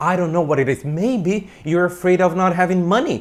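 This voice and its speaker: A man talks loudly at a high pitch. His tone is animated. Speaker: self-help coach. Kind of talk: motivational talk.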